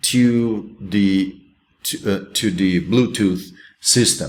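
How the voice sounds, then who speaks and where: A man with a Brazilian accent speaks at a very slow pace and fairly low pitch, with ordinary pitch variation and audible room echo. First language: Portuguese. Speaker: college instructor. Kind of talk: recorded lecture. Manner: halting, many fillers and restarts.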